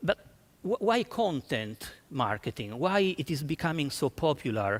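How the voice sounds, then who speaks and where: A man speaks at a fairly high pitch with vocal fry and very wide pitch swings. The sound is dry and close, with no echo. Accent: Italian. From Italy. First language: Italian. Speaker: marketing executive. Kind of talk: conference talk. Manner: halting, many fillers and restarts.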